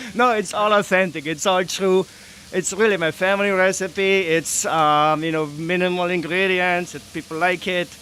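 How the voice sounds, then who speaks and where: With a slight German accent, a man raises and projects a high-pitched voice with fairly even intonation over noticeable background noise. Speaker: food vendor. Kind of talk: casual interview. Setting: outdoors at beer festival.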